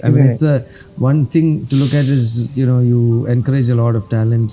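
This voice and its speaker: Over background music, a man with a medium-pitched voice speaks at a moderate pace with ordinary pitch variation. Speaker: playback and classical singer. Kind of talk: interview answer.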